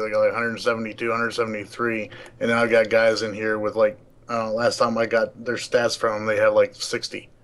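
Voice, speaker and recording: Flat, monotone intonation from a man at a medium pitch. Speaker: gaming league leader. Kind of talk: casual chat. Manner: halting, many restarts.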